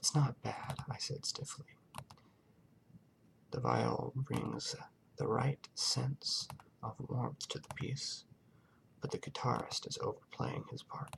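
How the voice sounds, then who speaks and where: Soft-spoken and at a very slow pace, a man talks with long, frequent pauses. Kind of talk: audiobook-style narration of a story.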